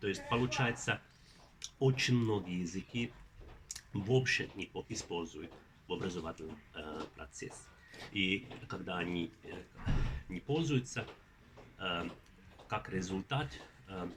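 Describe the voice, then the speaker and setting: A man with a very deep, low pitch talks at a very slow pace. His intonation is lively, broken by long, frequent pauses. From Finland. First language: Finnish (speaking Russian). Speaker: linguistics professor. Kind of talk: interview. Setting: at a conference. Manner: halting, many filler sounds.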